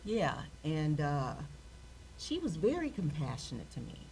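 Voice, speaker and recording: Echo from the room can be heard. Within it, a woman speaks fairly slowly. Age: 60s. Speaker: workshop participant. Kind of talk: personal sharing in group.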